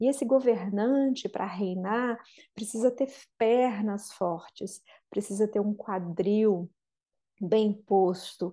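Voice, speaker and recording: Against a quiet background, a woman with a fairly high pitch and a dark, mellow tone talks at a very slow pace with ordinary pitch variation. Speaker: podcast host and therapist. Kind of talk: guided meditation.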